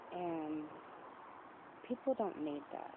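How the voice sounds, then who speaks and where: The speaker is a woman. Her pitch is fairly low. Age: 20s. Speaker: video diarist. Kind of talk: casual monologue. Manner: hesitant, many fillers.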